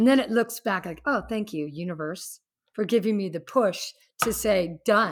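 A woman speaks in an unremarkable speaking voice at medium pitch. Her intonation is lively and her pace moderate. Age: 50s. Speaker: fitness instructor and executive. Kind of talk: casual chat. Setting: video call.

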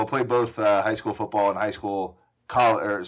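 A man speaks in a normal speaking voice at a fairly low pitch and a moderate pace. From US South, Atlanta. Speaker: trial lawyer. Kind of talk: casual interview.

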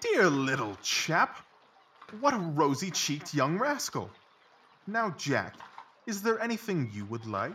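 The speech moves at a fairly slow pace, broken by long, frequent pauses. Pitch swings very widely throughout. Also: man, high pitch for a man. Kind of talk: audio drama, full-cast dramatised reading. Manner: brisk, confident, precise and articulate, with clipped, animated deductions.

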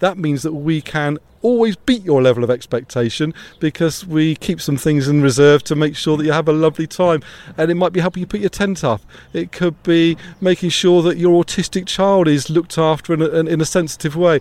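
With a British accent, a man speaks at a fairly high pitch and ordinary pitch variation. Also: fairly quick pace. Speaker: campsite owner. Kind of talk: interview answer.

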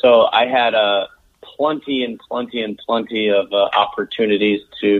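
This man has an ordinary speaking voice, fairly low in pitch, delivered at a moderate pace. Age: 30s. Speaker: stand-up comedian and TV host. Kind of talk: casual interview chat. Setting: remote call.

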